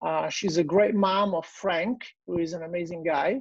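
The speaker has an Italian accent and keeps a moderate pace. The sound is dry with no echo, over a quiet background. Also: man. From Italy. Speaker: digestive health clinic owner; guest. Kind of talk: personal testimony. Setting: video call. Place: home room. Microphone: earbuds.

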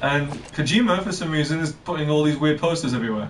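A man talks at a fairly quick pace. Noticeable background noise runs beneath him. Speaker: streamer playing a game. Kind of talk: casual gameplay commentary. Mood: amused, laughing.

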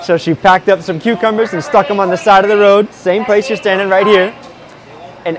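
Light background noise sits behind this man. He talks at a very fast pace. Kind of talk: interview answer. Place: market. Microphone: lapel.

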